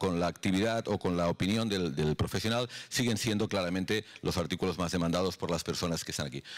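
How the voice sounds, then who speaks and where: Against quiet surroundings, a man speaks fairly quickly. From Europe. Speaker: health startup executive; conference speaker. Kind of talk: conference presentation. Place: hall. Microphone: handheld.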